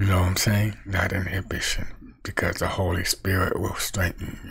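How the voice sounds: A low-pitched man, fairly slow, with little pitch movement. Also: fairly bright tone.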